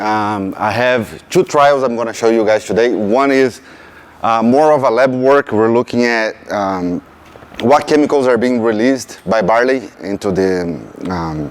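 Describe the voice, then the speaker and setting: Over noticeable background noise, a man with a strong Brazilian accent speaks with ordinary pitch variation. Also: medium pitch for a man, fairly slow pace. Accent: thick Brazilian Portuguese. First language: Portuguese. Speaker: PhD student researcher. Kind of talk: field day presentation.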